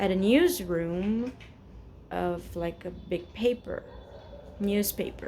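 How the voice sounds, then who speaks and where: A woman speaks at a very slow pace with a Portuguese accent. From Brazil, São Paulo. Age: 40s. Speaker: vlogger. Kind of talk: casual personal vent to camera. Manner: halting, many fillers and repetitions.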